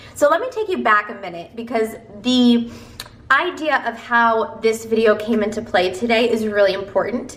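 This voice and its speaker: Noticeable background noise behind a woman with an American accent, fairly high in pitch, with ordinary pitch variation and a moderate pace. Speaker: self-help video creator. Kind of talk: motivational talk to camera. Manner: stumbling over words.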